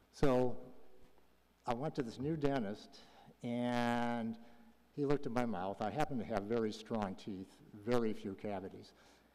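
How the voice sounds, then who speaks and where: Long, frequent pauses break up this moderately paced speech, delivered in a dark, mellow tone with ordinary pitch variation and audible room echo. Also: man, medium pitch for a man. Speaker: public commenter, retired health charity executive. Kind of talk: public comment at council meeting.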